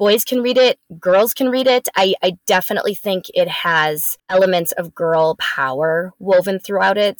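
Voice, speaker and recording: In an American accent, a woman speaks at a medium pitch with ordinary pitch variation. Her moderate-paced delivery has a dry, close sound with no echo. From US Midwest, Wisconsin (Wauwatosa). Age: 40s. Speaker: children's book author. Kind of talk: interview. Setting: at home. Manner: animated.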